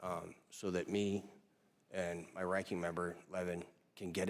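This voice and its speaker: In a Minnesotan accent, a man speaks with a very deep, low pitch and monotone, flat intonation. The recording is very clean, with a silent background. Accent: Minnesota. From Minnesota, Stillwater. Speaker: congressman, military veteran. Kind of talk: congressional hearing questioning. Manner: casual, joking.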